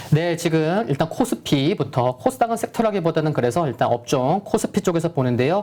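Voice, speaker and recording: The speaker moves at a fairly quick pace with hardly any pauses. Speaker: stock market analyst. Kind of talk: market commentary.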